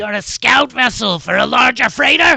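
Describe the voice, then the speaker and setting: A man puts on a character voice, high-pitched and raspy, with lively intonation. He keeps a moderate pace, and the sound is dry and close with no echo. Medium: actual play. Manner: formal, officious.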